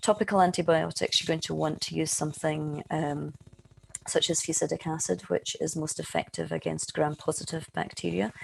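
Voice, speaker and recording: A woman with a Scottish accent at a moderate pace. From Scotland. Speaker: eye researcher, professor. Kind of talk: webinar lecture. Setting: online webinar.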